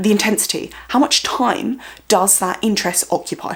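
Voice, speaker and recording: Loud and at a moderate pace, a woman speaks with a fairly high pitch. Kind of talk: educational vlog. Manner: uneven emphasis and intonation.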